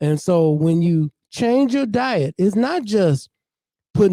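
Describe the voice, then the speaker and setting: At a moderate pace, a man speaks in a dark, mellow tone, with a dry, close sound and no echo. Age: 60s. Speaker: community speaker. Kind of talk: open mic talk.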